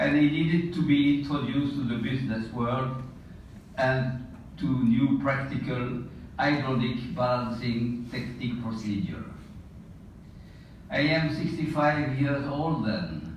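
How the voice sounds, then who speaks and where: Amid noticeable background noise and audible room echo, a man speaks at a fairly slow pace and medium pitch with ordinary pitch variation, taking long, frequent pauses. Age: 80s+. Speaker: retired engineer and colleague giving award tribute. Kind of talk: prepared tribute speech. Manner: formal.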